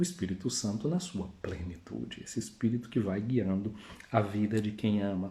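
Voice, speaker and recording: The voice has a Bahian accent and a dark, mellow, somewhat breathy tone. It moves at a moderate pace with lively intonation and audible room echo. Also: man, fairly low pitch for a man. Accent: northeastern Brazilian, Bahia. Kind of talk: sermon. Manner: conversational.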